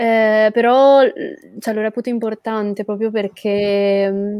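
Woman's fairly high voice in a dark, mellow tone, monotone and flat, with a dry sound with no echo and a quiet background. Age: 20s. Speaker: comic book artist; guest. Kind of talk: interview. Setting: live stream. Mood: relaxed, smiling. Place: home room. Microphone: earbuds.

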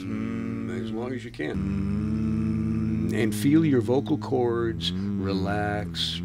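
A man's very deep, low voice at a very slow pace, with very wide pitch swings, big swings in loudness and music in the background. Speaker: professional voice actor. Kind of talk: interview answer, voice exercise instruction. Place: office. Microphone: studio mic.

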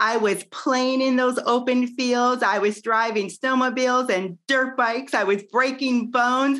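A woman with a Midwestern American accent speaks at a high pitch and a fairly slow pace. Her loudness stays very even. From US Midwest. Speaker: network marketer and business owner. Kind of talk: interview. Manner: animated. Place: home room. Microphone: video call.

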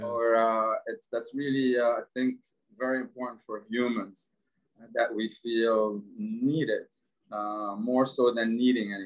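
A man with an Arabic accent speaks at a fairly slow pace. His intonation stays fairly even against a quiet background. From Lebanon. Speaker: entrepreneur. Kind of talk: casual interview. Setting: video call. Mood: warm, reflective storytelling. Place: home room. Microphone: video call.

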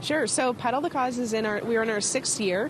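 With fairly even intonation, a woman's dry voice with no echo comes through noticeable background noise. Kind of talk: interview answer. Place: street. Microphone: handheld.

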